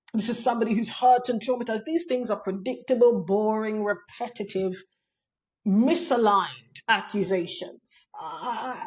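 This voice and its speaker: The speech moves at a moderate pace. Its pitch varies in an ordinary way. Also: woman, fairly high pitch for a woman. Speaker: online commentator on women's issues. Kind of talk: monologue to camera. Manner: not soft-spoken, forceful; clear, direct.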